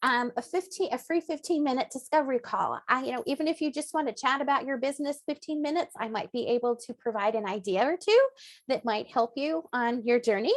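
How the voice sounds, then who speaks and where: Speaking at a very fast pace with hardly any pauses, a woman uses a high pitch and lively intonation, in a dry, close sound with no echo. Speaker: blogging coach and webinar presenter. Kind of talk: webinar presentation. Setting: live webinar. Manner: animated.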